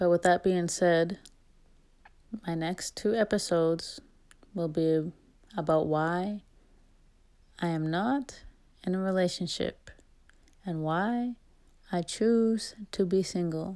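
Very slowly and with long, frequent pauses, a woman talks in a dark, mellow tone at a fairly low pitch with ordinary pitch variation, in a very clean recording with a silent background. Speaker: solo podcast host. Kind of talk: casual monologue. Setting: home recording without microphone. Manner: uneven volume and speed.

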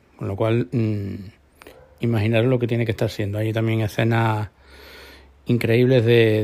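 The man's voice has a dark, mellow tone. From Córdoba, Andalusia, Spain. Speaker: podcast host. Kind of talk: solo podcast monologue. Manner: halting, many repetitions and fillers. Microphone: new microphone meant for video.

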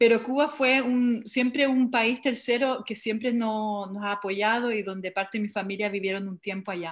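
Recorded very cleanly against a silent background, a woman talks at a moderate pace with hardly any pauses, her fairly high pitch moving with ordinary variation. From Montreal, Canada, of Chilean family. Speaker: cultural project founder, curator. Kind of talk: group interview.

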